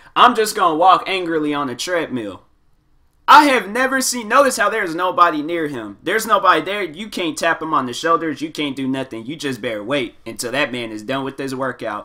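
A man with a fairly high pitch talks in an animated, bright, sharp tone, his pitch swinging very widely and his loudness rising and falling greatly. The recording is very clean, with a silent background. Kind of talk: comedic commentary voiceover. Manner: casual, animated.

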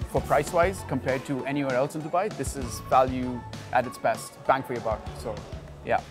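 Clear music plays behind the talking. A man delivers his words at a fairly quick pace. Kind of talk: interview answer. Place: market.

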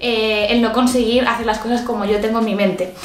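Faint music plays behind a woman speaking at a fairly quick pace, with audible room echo. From Spain. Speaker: beauty youtuber. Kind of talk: casual vlog talk to camera. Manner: animated. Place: home room.

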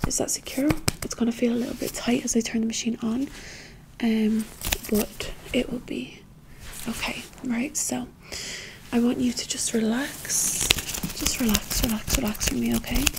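A soft-spoken woman at a moderate pace, with long, frequent pauses and noticeable background noise. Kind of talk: soft-spoken roleplay. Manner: soft, hushed ASMR doctor voice. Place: home room. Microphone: phone near.

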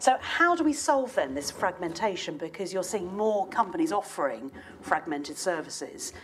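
A woman speaks at a moderate pace with very wide pitch swings. Light background noise sits behind her. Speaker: event chair; panel host, moderator. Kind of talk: panel moderation. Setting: stage with audience. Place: hall. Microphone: lapel.

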